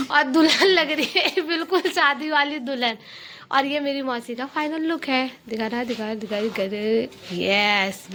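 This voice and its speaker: Raising and projecting her voice, a woman speaks in a high pitch with an animated tone. Her intonation is lively, and her pace is fairly slow. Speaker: vlogger. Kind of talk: casual vlog narration. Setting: family anniversary party at home. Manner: chatty, animated.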